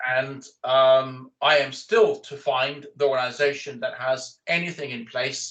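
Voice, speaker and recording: Very slow and fairly high-pitched, a man talks with a slight Danish accent. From Denmark. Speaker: corporate recruiter. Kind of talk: interview.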